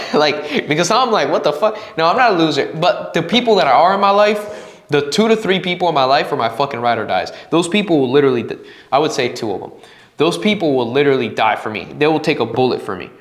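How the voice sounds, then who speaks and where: In a Spanish accent, a man speaks at a very fast pace with an animated tone and very wide pitch swings, amid audible room echo and noticeable background noise. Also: fairly high pitch for a man. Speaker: podcast host. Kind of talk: casual monologue. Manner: halting.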